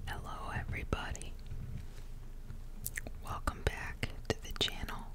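Loud background noise surrounds this woman as she talks at a fairly slow pace. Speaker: ASMR creator. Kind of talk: ASMR whisper ramble, fragrance review to camera. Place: home room. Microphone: studio mic.

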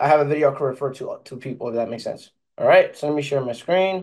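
A man talks at a very fast pace with ordinary pitch variation and big swings in loudness. The background is quiet. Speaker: IT support content creator. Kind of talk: casual vlog chat. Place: home room. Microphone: studio mic.

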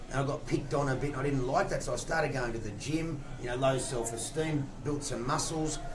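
A man speaks at a fairly high pitch and a fairly quick pace with fairly even intonation. Background noise is noticeable. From Australia. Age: 40s. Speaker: fitness and weight-loss coach. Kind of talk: radio interview. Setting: radio studio. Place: studio. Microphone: studio mic.

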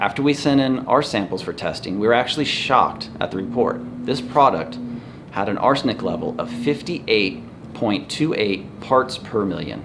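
There is noticeable background noise as a man speaks at a moderate pace with ordinary pitch variation. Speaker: organic soil company owner. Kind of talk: scripted educational explainer read from teleprompter. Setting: indoors in a store, wind noise. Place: shop.

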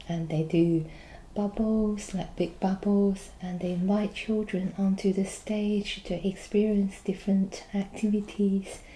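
Her tone dark and mellow and somewhat breathy, a woman speaks at a very slow pace with fairly even intonation. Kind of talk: role-play customer service dialogue. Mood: friendly, helpful. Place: home room. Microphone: webcam.

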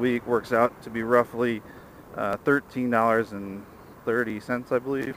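Light background noise sits behind a man speaking at a fairly quick pace. His intonation is fairly even, and the sound is dry with no echo. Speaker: scooter commuter vlogger. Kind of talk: casual vlog chat. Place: motorbike. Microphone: helmet.

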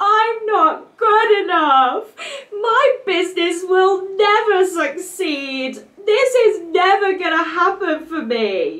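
A whiny, put-on character voice at an extremely high pitch and a very slow pace. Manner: silly, whiny, complaining.

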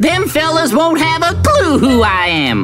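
A put-on character voice speaks in a high pitch at a moderate pace. Music plays clearly in the background.

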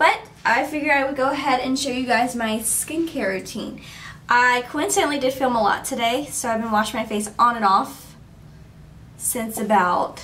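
Her pitch sits high for a woman and varies in an ordinary way. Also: moderate pace. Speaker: beauty vlogger. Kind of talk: casual vlog chat. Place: bathroom. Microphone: camera far.

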